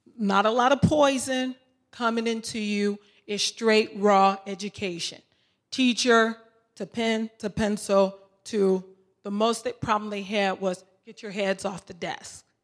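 A woman's medium-pitched, plain, everyday voice at a fairly slow pace, with fairly even intonation and big swings in loudness. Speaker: substitute teacher, audience member. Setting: audience Q and A.

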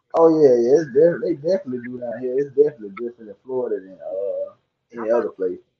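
A man with a Southern US accent talks at a very fast pace. His loudness swings widely. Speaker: podcaster and artist. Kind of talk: casual debate chat. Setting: live video call show. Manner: soft-spoken.

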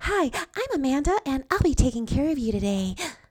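A female-sounding voice puts on a character voice in a high pitch. The pace is fairly quick. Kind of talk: cheerful service script. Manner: overly perky, phony.

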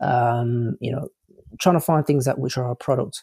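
A man's dark, mellow, medium-pitched voice in an English accent, with fairly even intonation and a dry, close sound with no echo, on a very clean recording with a silent background. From United Kingdom. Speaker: online business coach and drop shipper. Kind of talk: interview chat. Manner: casual, halting with fillers.

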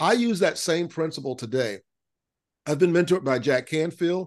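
A man with an American accent and an unremarkable speaking voice, moderate pace and ordinary pitch variation against a quiet background. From US South, Central Florida. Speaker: business CEO and musician. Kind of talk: interview.

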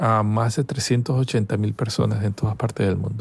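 A somewhat breathy man talks at a very slow pace. His pitch is medium, with ordinary variation. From Venezuela, Caracas. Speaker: scientist. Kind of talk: interview. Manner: halting, with fillers.

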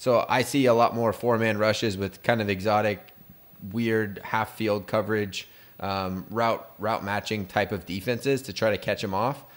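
The speaker has a Californian accent. The pace is moderate. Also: man, fairly low pitch for a man. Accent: Californian American. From San Diego, US. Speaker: podcast host. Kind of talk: casual chat.

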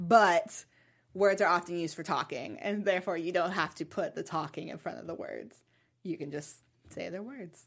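This woman has an unremarkable speaking voice, fairly low in pitch with ordinary pitch variation, moving at a moderate pace with big swings in loudness on a very clean recording with a silent background. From US South. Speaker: TV after-show host. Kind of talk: casual chat.

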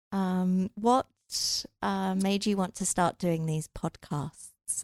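A woman speaks very slowly with an English accent and fairly even intonation. The recording is very clean, with a silent background. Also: dry, close sound with no echo. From England. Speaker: recruiter. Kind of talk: casual chat.

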